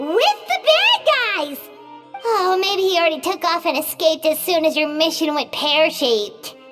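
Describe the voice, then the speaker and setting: A squeaky, extremely high put-on character voice at a fairly slow pace over clear background music. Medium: video game. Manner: excitable, refers to self in third person.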